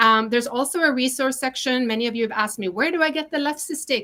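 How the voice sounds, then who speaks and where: A woman speaks in a Norwegian accent with a bright, sharp tone. The recording is very clean, with a silent background. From Norway. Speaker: chef and online cooking teacher. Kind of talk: sales pitch. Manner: casual with frequent fillers.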